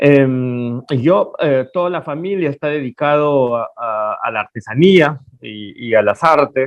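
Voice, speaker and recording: His voice sits at a medium pitch. The man's pitch moves in an ordinary way. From Peruvian Amazon. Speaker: painter. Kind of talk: interview. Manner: halting.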